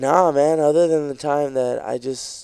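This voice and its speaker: A man speaks at a fairly slow pace with fairly even intonation, and the sound is dry with no echo. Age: 20s. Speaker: stand-up comedian; comedian podcast guest. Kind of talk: casual chat. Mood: relaxed, opinionated. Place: studio. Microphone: studio mic.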